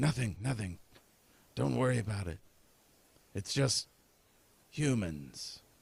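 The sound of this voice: A raspy, put-on character voice talks at a fairly slow pace. Long pauses come often. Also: man, fairly low pitch for a man.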